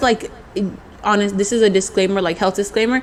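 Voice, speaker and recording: Amid noticeable background noise, a woman with a fairly high pitch speaks in an animated tone. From US South, Mobile, Alabama. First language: Spanish. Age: 20s. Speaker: entrepreneur, nail artist. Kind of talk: interview.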